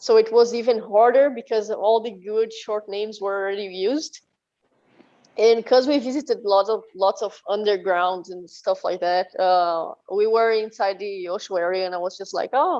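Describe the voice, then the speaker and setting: A woman with a Portuguese accent speaks at a moderate pace, her pitch fairly high. Her tone is dark and mellow, with ordinary pitch variation. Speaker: metal band musician. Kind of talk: interview. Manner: halting.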